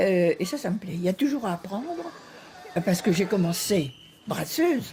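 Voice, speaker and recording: A woman speaks at a moderate pace with lively intonation and a medium pitch, over noticeable background noise. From Normandy, France (Caen). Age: 90s. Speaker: competitive swimmer. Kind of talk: TV interview.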